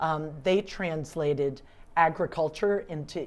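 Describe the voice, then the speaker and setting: A woman with an American accent talks at a fairly slow pace in a plain, everyday voice. Her pitch is fairly low, with ordinary pitch variation. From US South, Atlanta. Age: 60s. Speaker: civic leader, award recipient. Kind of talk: interview.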